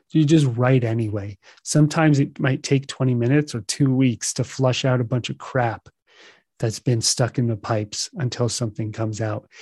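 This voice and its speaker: This man's voice is somewhat breathy with a dark, mellow tone at a medium pitch, moving at a moderate pace with fairly even intonation. The sound is dry and close with no echo, over a quiet background. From US, child of Russian-speaking immigrants. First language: Russian. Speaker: meditation teacher and podcaster. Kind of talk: solo podcast monologue. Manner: laughs often at himself.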